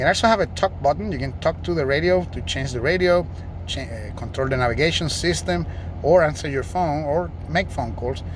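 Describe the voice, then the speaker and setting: Using very wide pitch swings, a man with a Puerto Rican accent speaks at a fairly quick pace. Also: medium pitch for a man. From Puerto Rico. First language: Spanish. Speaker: car salesman. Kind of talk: vehicle walkaround demonstration.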